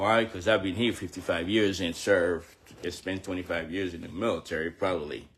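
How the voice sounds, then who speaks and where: Somewhat breathy, a man speaks in a very deep, low pitch. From Haiti. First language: Haitian Creole. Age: 70s. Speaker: military veteran and fitness trainer. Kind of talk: personal livestream address. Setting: live video.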